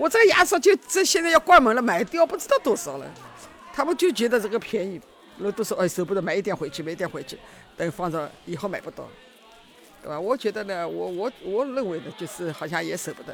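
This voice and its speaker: A woman at a medium pitch talks very fast with very wide pitch swings and big swings in loudness while music plays in the background. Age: 70s. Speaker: stall owner selling daily goods. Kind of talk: interview.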